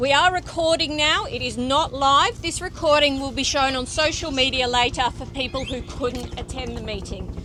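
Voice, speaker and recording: A woman's raised, projected voice, high-pitched, at a moderate pace with hardly any pauses, over noticeable background noise. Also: fairly even intonation. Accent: Australian. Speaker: fire service public information officer. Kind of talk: community meeting chairing.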